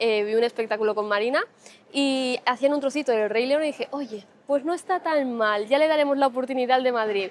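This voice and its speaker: Her voice is high-pitched, and the woman's intonation is lively. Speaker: travel vlogger. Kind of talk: travel vlog. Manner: fast.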